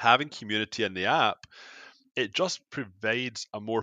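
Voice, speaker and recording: Speaking at a moderate pace with a Glasgow accent, a man uses a fairly low pitch and ordinary pitch variation. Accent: Scottish (Glasgow). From Scotland, Glasgow area. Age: 30s. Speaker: wellness app founder. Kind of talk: podcast interview. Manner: halting, many repetitions and fillers.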